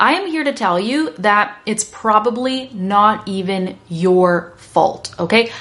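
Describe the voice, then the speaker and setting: With hardly any pauses, a woman speaks in an animated tone with lively intonation over noticeable background noise. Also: medium pitch for a woman. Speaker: English teacher. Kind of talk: lesson to learners. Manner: fast.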